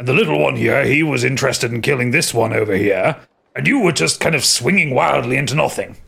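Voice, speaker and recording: Using a put-on character voice, a man rattles along at a very fast pace at a medium pitch. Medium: actual play. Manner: booming, jovial, simple.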